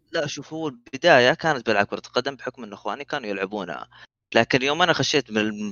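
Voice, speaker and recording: A man speaks in an unremarkable speaking voice at a medium pitch. His pace is fairly quick and his intonation lively. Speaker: esports gamer. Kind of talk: casual chat.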